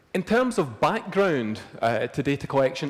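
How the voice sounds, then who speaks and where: A man with a Scottish accent talks at a moderate pace in a fairly high pitch. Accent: Scottish, largely unchanged. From Scotland, near Glasgow. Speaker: crystallography lecturer. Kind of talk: lecture.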